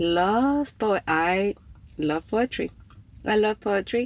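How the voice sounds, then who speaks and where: A woman with a Spanish accent speaks at medium pitch with ordinary pitch variation. The sound is dry and close with no echo, on a very clean recording with a silent background. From Cuba. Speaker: poet and writer, podcast host. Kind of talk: casual livestream talk. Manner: casual, with fillers and hesitations.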